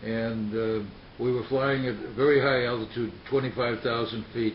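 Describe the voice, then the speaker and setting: A man with an American accent speaks at a moderate pace and medium pitch in a flat, monotone delivery, with noticeable background noise behind him. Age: 90s. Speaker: war veteran. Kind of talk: interview. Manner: halting.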